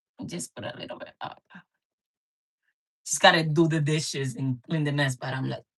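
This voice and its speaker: At a moderate pace and in a Spanish accent, the speaker sounds somewhat breathy, with big swings in loudness and long, frequent pauses. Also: woman, very deep, low pitch for a woman, ordinary pitch variation. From Dominican Republic. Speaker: cooking channel host. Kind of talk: casual live stream chat.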